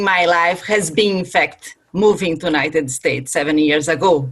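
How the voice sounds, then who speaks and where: A woman with a Brazilian Portuguese accent speaks at a fairly slow pace with lively intonation. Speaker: corporate sustainability director, panelist. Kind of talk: virtual panel talk.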